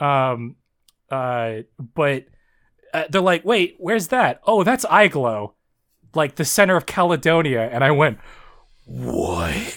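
Very slowly and with long, frequent pauses, a man talks at a fairly high pitch that swings very widely. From Southern Ontario, Canada. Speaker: podcast co-host. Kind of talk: casual chat, podcast discussion of a fanfic. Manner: halting, stumbling, laughs often.

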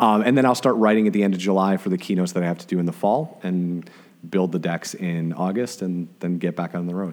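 An American-accented man talks at a very fast pace. His voice is very deep and low, with ordinary pitch variation. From Chicago area, US Midwest. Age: 40s. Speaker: social media marketer, former radio DJ. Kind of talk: casual interview conversation.

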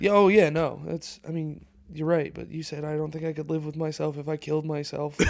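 A man's fairly high voice at a fairly quick pace, in a monotone, flat intonation. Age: 20s. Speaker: comedian. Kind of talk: casual chat.

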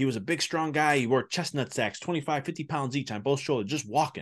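Over a quiet background, a man with an American accent talks at a very fast pace with lively intonation. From Chicago, US Midwest. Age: 30s. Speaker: business and spiritual mindset coach, chiropractor. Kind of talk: casual interview chat.

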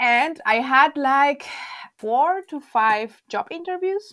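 A woman speaks in a high, bright and sharp voice, very slowly, with very wide swings in pitch. The recording is very clean, with a silent background. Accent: Spanish. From Venezuela, La Guaira. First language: Spanish. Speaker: university librarian. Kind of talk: casual interview chat.

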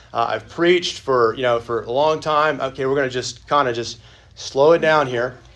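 Fairly even intonation from a man at a moderate pace, his voice medium in pitch. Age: 40s. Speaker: pastor teaching a church class. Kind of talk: Sunday school lecture. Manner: halting.

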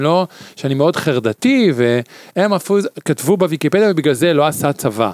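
A man with a normal speaking voice, lively intonation and a moderate pace, in a dry, close sound with no echo on a very clean recording with a silent background. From Israel, Tel Aviv. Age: 50s. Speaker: podcast guest. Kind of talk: casual chat.

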